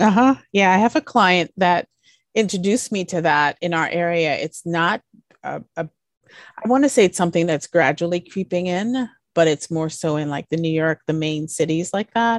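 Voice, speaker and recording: A woman with an American accent has a normal speaking voice, a fairly low pitch and ordinary pitch variation. She speaks at a moderate pace, and the sound is dry and close with no echo against a quiet background. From US Virgin Islands. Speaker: interior designer. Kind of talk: casual interview chat.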